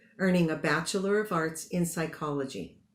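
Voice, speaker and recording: A woman's fairly low voice, an unremarkable speaking voice, with ordinary pitch variation at a moderate pace. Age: 60s. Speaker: commencement speaker, graduate psychotherapist. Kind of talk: commencement speech. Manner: formal.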